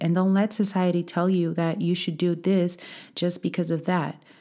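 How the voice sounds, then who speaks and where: In a very clean recording with a silent background, a woman with a Portuguese accent speaks at a moderate pace in a fairly low, dark, mellow tone. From Portugal. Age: 20s. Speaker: podcast host. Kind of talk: motivational talk.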